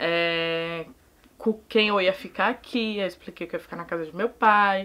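The woman's voice shows ordinary pitch variation. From Salvador, Bahia, Brazil; Bahia, Brazil. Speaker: immigrant interviewee; interviewee. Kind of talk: casual chat. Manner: animated. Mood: animated, humorous. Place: home room.

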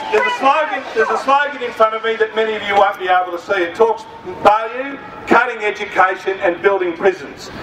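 Loud and at a very fast pace, a man with an Australian accent speaks at a high pitch with ordinary pitch variation over noticeable background noise. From Australia (Victoria). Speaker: trade union official. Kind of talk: fiery protest-rally speech rousing a crowd against state education cuts. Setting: outdoor rally with crowd. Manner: combative, punchy rhetoric with taunting asides; loud, emphatic, repeating lines for crowd effect. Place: street. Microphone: handheld.

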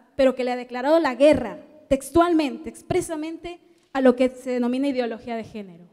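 A woman's high, dark and mellow voice with an Ecuadorian accent, at a moderate pace with ordinary pitch variation. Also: quiet background. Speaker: researcher, audience member; audience member. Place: hall.

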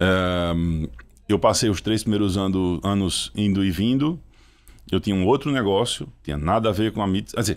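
Against a quiet background, a man talks at a moderate pace. His fairly low voice carries a slight Pernambuco accent and ordinary pitch variation. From Pernambuco sertão, Brazil. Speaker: startup CEO and founder; guest. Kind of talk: podcast interview. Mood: reflective storytelling. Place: studio. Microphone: studio mic.

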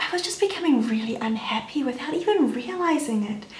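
In a room with audible echo, a woman with a high pitch speaks at a moderate pace. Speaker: vlogger. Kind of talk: comedic character sketch vlog. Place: home room.

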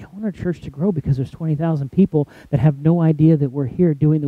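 In an ordinary speaking voice, a man talks at a fairly quick pace with a fairly high pitch and fairly even intonation. The sound is dry with no echo, over a quiet background. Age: 40s. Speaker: pastor. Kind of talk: sermon. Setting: church. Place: church. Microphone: headset.

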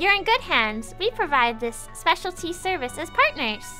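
A woman's put-on character voice at an extremely high pitch and a moderate pace, with clear music in the background. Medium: virtual streamer. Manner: sweet, bubbly.

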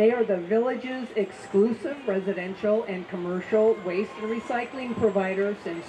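A woman speaks with ordinary pitch variation. Noticeable background noise runs behind her. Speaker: parade announcer. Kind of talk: event announcing commentary. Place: street.

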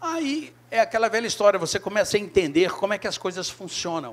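The speaker races along at a very fast pace with lively intonation. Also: man. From Brazil, Belo Horizonte (Minas Gerais); Minas Gerais, Brazil. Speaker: keyboardist in a rock band; guest. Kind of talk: career talk to a group of young musicians. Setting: room with a small audience of artists.

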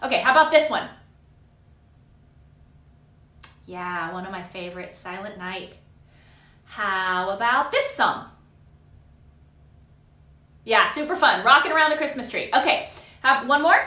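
A woman's raised, projected voice at a moderate pace, with big swings in loudness, long, frequent pauses and audible room echo. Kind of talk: children's ministry game hosting.

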